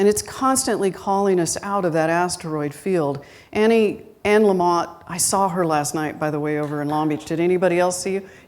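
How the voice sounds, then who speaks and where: Audible room echo surrounds a woman speaking at a fairly quick pace with a fairly low pitch. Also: ordinary pitch variation. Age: 60s. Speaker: guest minister. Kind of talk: sermon. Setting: church with live congregation. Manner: conversational.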